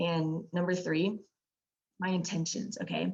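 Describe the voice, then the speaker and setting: A woman's fairly low pitch with vocal fry. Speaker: sales trainer. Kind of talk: training session. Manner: fast; loud.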